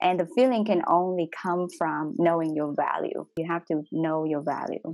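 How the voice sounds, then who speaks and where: With a Vietnamese accent, a woman speaks at a moderate pace in a fairly low pitch with ordinary pitch variation. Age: young. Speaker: doctor. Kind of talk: panel discussion. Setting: workshop.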